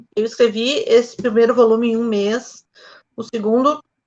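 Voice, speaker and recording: A woman speaks at a fairly high pitch with a southern Brazilian accent. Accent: Gaúcho (southern Brazilian) Portuguese. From Rio Grande do Sul, Brazil (Novo Hamburgo). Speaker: novelist. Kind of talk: interview.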